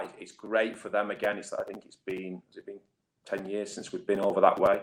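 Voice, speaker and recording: The speaker is a man. He has a northern English accent. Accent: northern English, noticeable. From northwest England. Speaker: rugby league head coach. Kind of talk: interview. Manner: hesitant, many fillers and repeats.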